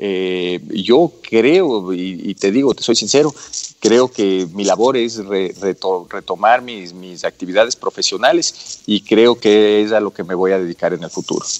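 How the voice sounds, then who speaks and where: A man talks at a fairly slow pace with a fairly low pitch and ordinary pitch variation. He has a plain, everyday voice. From Ecuador, Quito. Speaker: business chamber president. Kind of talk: radio interview.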